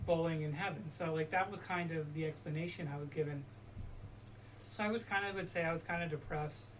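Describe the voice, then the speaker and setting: Her fairly low-pitched voice shows ordinary pitch variation at a very fast pace. There is audible room echo around the woman. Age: 30s. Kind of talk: testimony.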